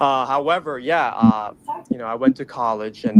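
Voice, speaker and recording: A man with an American accent speaks at a moderate pace in a medium pitch, his pitch varying in an ordinary way over noticeable background noise. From Middle East (Dubai), American schooling. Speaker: caller. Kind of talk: call-in debate on a talk show.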